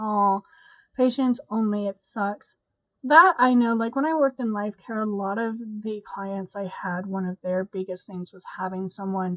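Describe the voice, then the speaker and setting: Quietly, a woman speaks in a tired tone. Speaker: YouTube host reading positive stories. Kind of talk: casual talk to camera. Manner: quiet, tired, congested.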